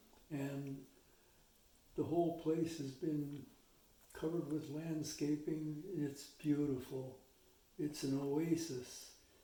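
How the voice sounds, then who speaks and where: Very slow and somewhat breathy, a man speaks at a fairly high pitch with a dark, mellow tone, monotone, flat intonation and long, frequent pauses, with audible room echo. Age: 80s+. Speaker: retired missionary. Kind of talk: interview. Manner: reflective, measured.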